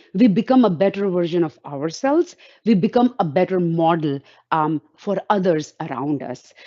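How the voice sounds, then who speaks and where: In an Indian accent, a woman speaks at a medium pitch and moderate pace, her intonation lively. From India, Roorkee, Uttarakhand. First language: Hindi. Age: 50s. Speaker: invited speaker, woman in STEM. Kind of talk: talk with slides in online panel. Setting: virtual event.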